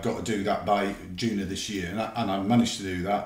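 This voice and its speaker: A man's fairly low voice at a very fast pace, with fairly even intonation and audible room echo. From England. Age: 50s. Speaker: retired police officer; interview guest. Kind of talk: casual chat; interview answer. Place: home room.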